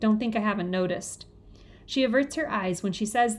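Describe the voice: The clip is plain reading aloud with ordinary pitch variation.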